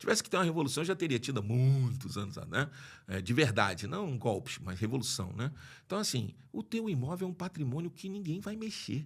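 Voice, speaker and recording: Somewhat breathy and fairly high in pitch, a man talks at a fairly quick pace with very wide pitch swings. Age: 60s. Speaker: lawyer and property investor. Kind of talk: podcast interview. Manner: halting, many restarts.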